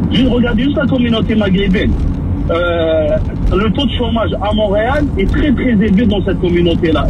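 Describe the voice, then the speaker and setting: The recording carries clear background noise and a distinct room echo. Through it, a man talks fairly quickly. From Maghreb, then Quebec from age 15. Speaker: caller. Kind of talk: radio call-in.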